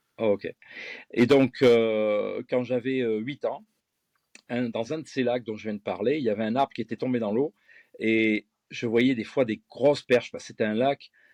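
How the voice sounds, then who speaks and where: Delivered at a fairly slow pace with fairly even intonation, the speech has a dry, close sound with no echo and a quiet background. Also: man, long, frequent pauses. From France, Gironde (Bègles, near Bordeaux). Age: 50s. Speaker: fishing lure designer and angling guide. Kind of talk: interview.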